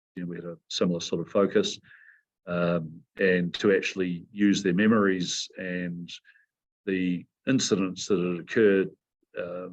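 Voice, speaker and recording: In a New Zealand accent, a man with a very deep, low voice talks at a fairly slow pace with fairly even intonation. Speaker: mountain guide and company CEO. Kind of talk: interview.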